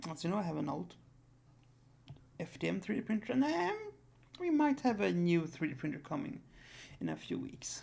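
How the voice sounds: The gravelly, raspy voice, slightly mellow with vocal fry, moves at a moderate pace with very wide pitch swings and long, frequent pauses.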